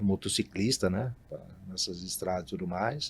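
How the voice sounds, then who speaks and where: This man has a normal speaking voice with lively intonation. He talks at a fairly slow pace. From Brazil, São Paulo state (Marília). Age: 50s. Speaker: hotelier. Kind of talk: interview. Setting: studio.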